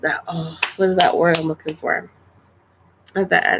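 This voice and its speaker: A woman speaks quietly. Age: 30s. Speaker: vlogger. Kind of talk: casual livestream chat. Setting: live stream. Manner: halting, repetitive.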